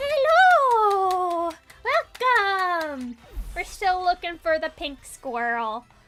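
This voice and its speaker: Her pitch extremely high and swinging very widely, a woman speaks at a very slow pace. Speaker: VTuber streamer. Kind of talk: casual live stream chat. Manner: hesitant, many fillers.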